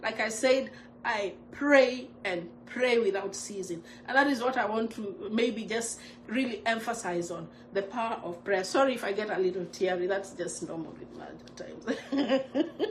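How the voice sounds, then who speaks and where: A woman with a fairly high pitch talks at a moderate pace, her loudness swinging widely and her pitch varying in an ordinary way. Room echo is audible, and background noise is noticeable. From Kenya. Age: 50s. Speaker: vlogger sharing life story. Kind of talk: personal testimony on livestream.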